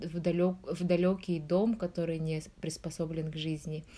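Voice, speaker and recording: A woman's fairly low voice, dark and mellow in tone, at a fairly slow pace. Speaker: researcher in nutrition and public health. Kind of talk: interview.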